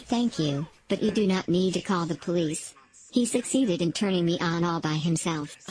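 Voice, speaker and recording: A female-sounding voice in a put-on character voice speaks at a moderate pace with a fairly low pitch. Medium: audio drama. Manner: flat, literal, robotic.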